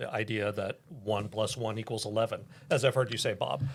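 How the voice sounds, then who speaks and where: The voice is somewhat breathy, with an American accent. The recording is very clean, with a silent background. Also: man. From US Pacific Northwest, Kirkland/Bellevue, Washington. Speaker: business advisor. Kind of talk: podcast conversation.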